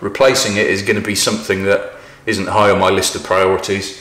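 There is audible room echo around the voice. A man speaks at a moderate pace. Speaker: presenter. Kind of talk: casual vlog chat. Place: garage.

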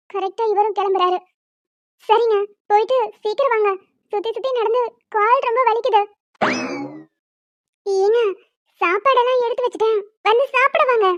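A cartoonish character voice at a moderate pace, dry and close with no echo, over background sound effects. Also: woman, extremely high pitch for a woman. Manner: lively, quick-witted.

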